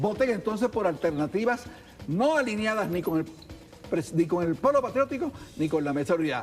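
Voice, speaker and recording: Over music in the background, a man speaks at a high pitch in very wide pitch swings. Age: 70s. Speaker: politician. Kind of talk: heated debate.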